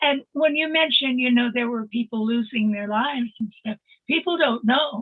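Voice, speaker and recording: This woman speaks at a high pitch with ordinary pitch variation. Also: moderate pace. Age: 80s+. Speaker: psychic medium. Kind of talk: casual chat. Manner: animated.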